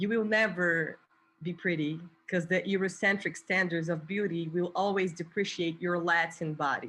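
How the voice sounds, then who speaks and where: A woman speaks in a Portuguese accent at a moderate pace, with a fairly low pitch and a bright, sharp tone. Her intonation is monotone and flat against a quiet background. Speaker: activist and artist. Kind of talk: spoken word poetry performance.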